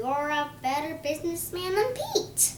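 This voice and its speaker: A woman puts on a character voice at an extremely high pitch. Background noise is clearly audible. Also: moderate pace. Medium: read story. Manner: warm, affectionate.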